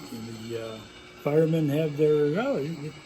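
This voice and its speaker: In a room with audible echo and noticeable background noise, a man with an American accent and fairly high pitch talks at a fairly slow pace with ordinary pitch variation. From US Midwest, Chicago. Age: 80s+. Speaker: hobbyist model railroader. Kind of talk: casual guided tour narration. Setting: home garage. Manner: animated.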